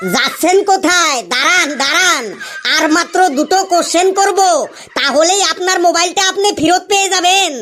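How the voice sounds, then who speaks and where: A cartoonish character voice with extremely high pitch moves at a moderate pace against clear background noise. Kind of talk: comic cartoon voice acting. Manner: bossy, fussy, rambling.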